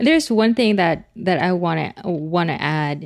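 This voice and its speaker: A woman speaks with a Filipino accent at a fairly slow pace. Her pitch varies in an ordinary way. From Philippines. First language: a Philippine language. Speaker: remote team member. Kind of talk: casual interview chat. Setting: remote recording. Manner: laughs often.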